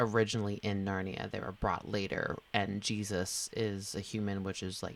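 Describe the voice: A clip of plain reading aloud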